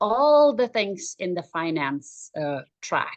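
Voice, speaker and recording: With a German accent, a woman speaks at a very slow pace with very wide pitch swings in a dry, close sound with no echo. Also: quiet background. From Germany. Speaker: life coach for moms. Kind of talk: interview.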